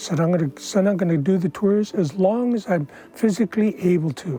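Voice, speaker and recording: At a fairly slow pace, a man speaks with a high pitch and ordinary pitch variation. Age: 70s. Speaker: tour guide. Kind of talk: documentary interview.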